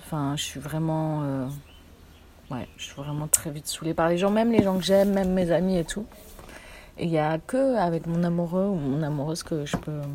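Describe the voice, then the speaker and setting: Amid noticeable background noise, a woman with a fairly low pitch and ordinary pitch variation talks at a moderate pace. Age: 20s. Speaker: theatre company worker. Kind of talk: casual chat.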